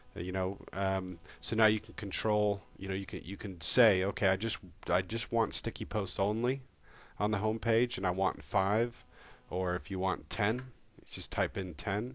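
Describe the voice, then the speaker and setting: A man talks at a fairly low pitch and a moderate pace. His intonation stays fairly even over a quiet background. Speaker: software tutorial presenter. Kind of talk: screencast tutorial. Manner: hesitant, many fillers.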